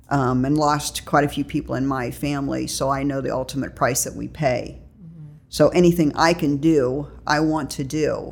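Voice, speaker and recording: This woman speaks at a moderate pace in a very deep, low voice with vocal fry, monotone, flat intonation, big swings in loudness and hardly any pauses. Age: 50s. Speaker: recovery group co-chair. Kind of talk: casual interview.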